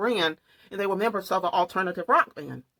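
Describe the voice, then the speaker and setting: A woman with a Southern US accent at a fairly quick pace, in a dry, close sound with no echo. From US South. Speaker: true crime and makeup vlogger. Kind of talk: casual vlog storytelling.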